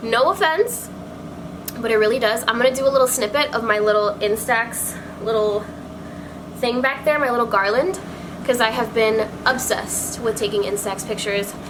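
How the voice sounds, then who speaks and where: With long, frequent pauses, a woman speaks in a fairly high voice with ordinary pitch variation, amid noticeable background noise and audible room echo. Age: 20s. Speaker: beauty vlogger. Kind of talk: casual chat. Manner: fast; animated.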